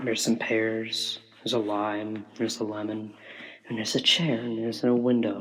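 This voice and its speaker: A man speaks quietly at a medium pitch, monotone and flat. There is audible room echo. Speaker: musician. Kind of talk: spoken interlude on album. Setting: bathroom with open window. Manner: deliberately quiet; normally loud.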